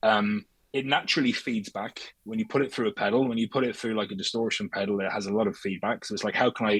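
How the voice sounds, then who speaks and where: Very fast speech from a man with a fairly low pitch and fairly even intonation, in a dry, close sound with no echo. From Dublin, Ireland. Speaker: musician in a band. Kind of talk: interview. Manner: casual, with many hesitations and repeats.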